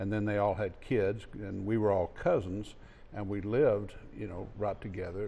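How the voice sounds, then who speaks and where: A man with a West Texas accent has a dark, mellow tone at a fairly low pitch. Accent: West Texas drawl. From West Texas (Fort Stockton, Alpine). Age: 60s. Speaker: author. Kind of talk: interview.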